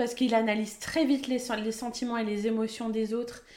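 The tone is dark and mellow. The pace is moderate. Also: woman. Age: 30s. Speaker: local radio presenter. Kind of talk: casual chat.

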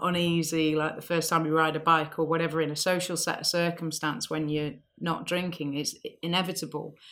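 Here is an ordinary speaking voice: a woman with a fairly low pitch and fairly even intonation. She speaks at a moderate pace on a very clean recording with a silent background. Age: 40s. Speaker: insurance company founder and CEO. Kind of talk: interview.

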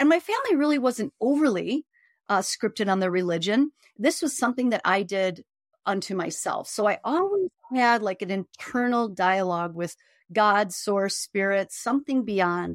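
With an American accent, a woman has an unremarkable speaking voice at a medium pitch, a moderate pace, and lively intonation. The recording is very clean, with a silent background and a dry, close sound with no echo. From Chicago, South Side. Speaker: spiritual healer. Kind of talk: casual interview.

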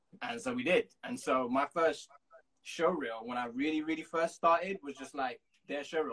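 The sound is dry and close with no echo as a man speaks at a fairly high pitch with very wide pitch swings. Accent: London. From London, England. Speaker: music video and TV producer. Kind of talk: casual interview. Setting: Instagram live call.

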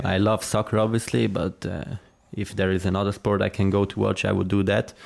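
At a moderate pace, a man talks with a Swiss German accent. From Switzerland, Zurich area. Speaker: professional footballer. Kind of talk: interview.

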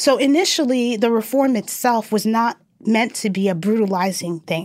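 A woman's fairly high voice with an American accent and ordinary pitch variation, an unremarkable speaking voice on a very clean recording with a silent background. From New York. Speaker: organizer and educator. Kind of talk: interview.

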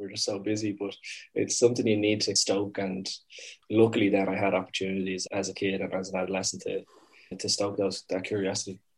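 A man at a fairly low pitch, somewhat breathy and monotone in flat intonation, at a fairly quick pace over a quiet background. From Dublin, Ireland. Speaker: startup founder and CEO. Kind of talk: casual interview conversation.

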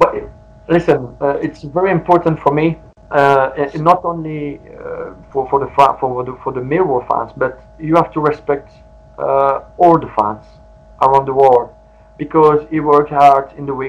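A man with a non-native accent and a fairly high pitch speaks at a fairly slow pace with fairly even intonation, music playing in the background. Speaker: former professional footballer. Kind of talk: interview. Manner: halting.

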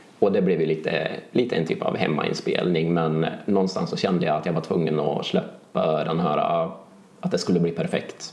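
Noticeable background noise sits behind a man with a very deep, low pitch. He talks at a moderate pace with fairly even intonation. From Värmland, Sweden (Charlottenberg). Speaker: synthpop musician. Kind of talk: casual interview.

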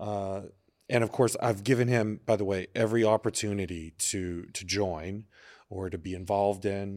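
A man with an unremarkable speaking voice and an American accent talks at a moderate pace with a fairly low pitch and fairly even intonation, on a very clean recording with a silent background. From Texas. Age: 40s. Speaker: adult film performer and entrepreneur. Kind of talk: casual interview chat. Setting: studio.

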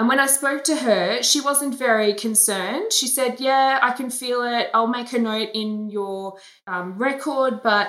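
Her tone bright and sharp, a woman speaks in an Australian accent with ordinary pitch variation. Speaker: breast cancer awareness campaigner. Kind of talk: interview. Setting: video call.

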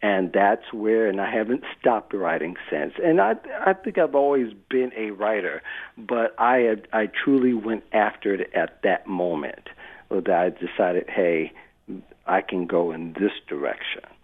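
The pace is fairly slow. The intonation is lively. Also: man, fairly low pitch for a man.

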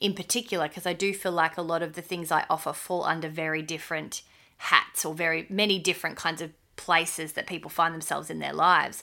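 In an Australian accent, a woman speaks with a fairly low pitch, a bright, sharp tone and ordinary pitch variation on a very clean recording with a silent background. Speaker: podcast co-host. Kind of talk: casual chat.

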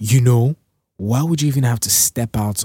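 A man speaks in an animated tone at a moderate pace with ordinary pitch variation. The recording is very clean, with a silent background. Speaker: podcast host. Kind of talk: casual chat; angry rant. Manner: ranting, scolding, emphatic.

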